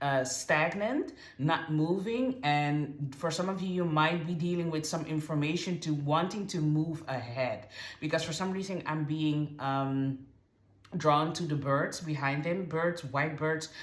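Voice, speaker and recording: A woman with a non-native accent speaks fairly slowly in a very deep, low voice with ordinary pitch variation, and audible room echo surrounds her. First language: not English. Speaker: tarot reader. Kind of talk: tarot reading to camera. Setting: on camera, card shown far from camera. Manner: halting, many fillers and restarts.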